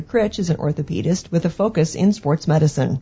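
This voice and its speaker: Somewhat breathy, a woman speaks fairly quickly at a fairly low pitch with ordinary pitch variation. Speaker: radio co-host. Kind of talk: scripted narration. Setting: studio.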